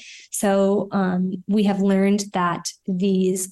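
A woman with a New York accent speaks in a dark, mellow tone. The background is quiet. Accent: New York American. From US, New York City. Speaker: astrophysicist. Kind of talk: radio interview.

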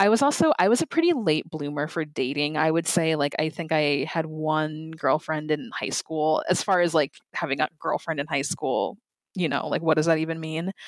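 Recorded dry and close with no echo, a woman speaks with a very deep, low pitch and ordinary pitch variation. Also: moderate pace. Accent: American. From Minnesota, US Midwest. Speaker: podcast transcriber. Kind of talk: interview.

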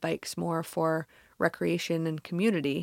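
A woman's plain, everyday voice at a fairly low pitch and moderate pace, with a dry, close sound, no echo, and a very clean recording with a silent background. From California. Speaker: nonprofit executive director. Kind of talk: radio interview. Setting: studio.

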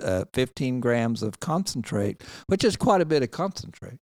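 Recorded very clean with a silent background, the man's voice sounds dry and close, with no echo. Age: 60s. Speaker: veteran and cannabis reform advocate. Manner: halting, many fillers.

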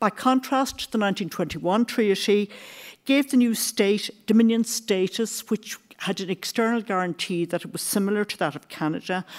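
A woman with an Irish accent speaks at a medium pitch and a moderate pace. Her pitch variation is ordinary, while her loudness swings widely. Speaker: history professor. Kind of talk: lecture.

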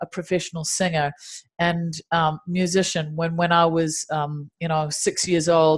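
A woman with a New Zealand accent and a fairly low pitch, at a moderate pace, in a very clean recording with a silent background. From Dunedin, New Zealand. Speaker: meditation teacher and singer-songwriter. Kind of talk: interview conversation.

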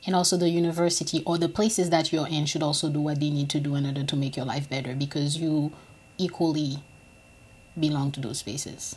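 A woman with a very deep, low, somewhat breathy voice talks at a very fast pace using fairly even intonation. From Haiti. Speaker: PhD student. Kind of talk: casual discussion.

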